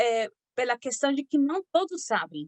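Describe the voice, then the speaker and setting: With lively intonation and a high pitch, a woman speaks at a fairly slow pace in a dry, close sound with no echo. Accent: Spanish. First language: Spanish (speaking Portuguese). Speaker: physician giving a health talk. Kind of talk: lecture. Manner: halting, many fillers.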